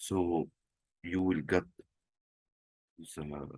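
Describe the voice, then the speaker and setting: A man with a non-native accent, a dark, mellow tone and a very slow pace. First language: not English. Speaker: trading tutorial presenter. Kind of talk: screen-share tutorial. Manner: halting, with fillers.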